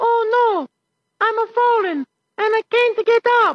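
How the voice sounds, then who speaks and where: A put-on character voice, extremely high-pitched and fairly slow. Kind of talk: American advertising. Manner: melodramatic, over-the-top.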